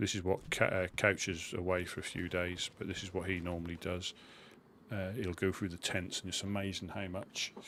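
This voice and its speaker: With a Suffolk accent, a man with a very deep, low voice speaks in a bright, sharp tone and a monotone, flat delivery. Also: moderate pace. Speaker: gaming streamer. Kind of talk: live gameplay commentary. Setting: live stream. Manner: casual, chatty.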